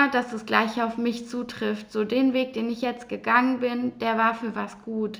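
A woman speaks at a fairly high pitch and a fairly slow pace. Her intonation is flat and monotone. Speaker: mindset coach and podcast host. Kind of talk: solo personal monologue.

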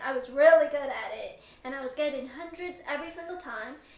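Against noticeable background noise, a woman talks at a moderate pace in a high voice with ordinary pitch variation. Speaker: podcast host. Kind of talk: casual interview chat. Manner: soft-spoken.

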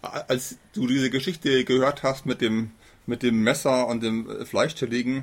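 Speaking at a moderate pace, a man has an unremarkable speaking voice at a medium pitch. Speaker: podcast host. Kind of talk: interview. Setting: outdoors on a balcony.

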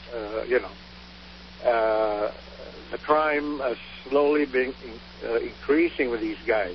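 Over noticeable background noise, a man speaks very slowly. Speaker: caller. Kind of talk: call-in talk radio.

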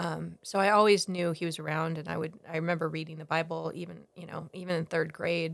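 A woman with a fairly low pitch and vocal fry talks fairly quickly in a flat monotone, hardly pausing at all. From Ghana, then US Pacific Northwest. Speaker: missionary. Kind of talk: casual interview, faith testimony. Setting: home office.

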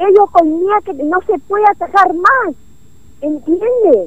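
Speaking very slowly, a woman lets her intonation stay lively. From Clorinda, Formosa, northeastern Argentina. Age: 60s. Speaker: neighborhood association representative. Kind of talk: phone-in complaint to radio. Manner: agitated, halting.

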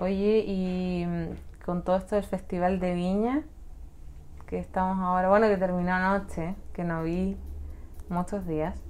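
Speaking in a Chilean accent, a woman at medium pitch talks at a fairly slow pace with fairly even intonation and long, frequent pauses. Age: 20s. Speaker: law graduate and youtuber. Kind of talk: casual chat.

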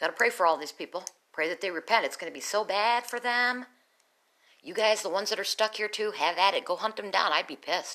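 A woman speaks very fast with ordinary pitch variation. Her tone is bright and sharp, and her loudness swings a lot. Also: medium pitch for a woman. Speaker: video blogger. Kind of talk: casual monologue.

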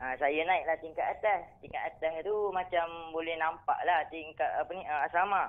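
A man with a Kelantan accent speaks at a moderate pace in a high voice, his intonation fairly even. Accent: Kelantanese Malay. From Kelantan, Malaysia. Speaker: caller. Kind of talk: casual storytelling of a personal ghost experience. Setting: phone call. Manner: halting, with many fillers.

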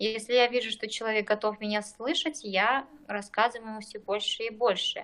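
A woman speaks at a fairly slow pace. Her voice sits fairly high. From eastern Kazakhstan, rural village. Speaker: general practitioner, doctor. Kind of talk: podcast interview.

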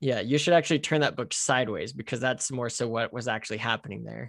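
Vocal fry runs through this man's voice. He speaks fairly quickly at a medium pitch with fairly even intonation. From United States. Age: 20s. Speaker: author and missionary. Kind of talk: interview.

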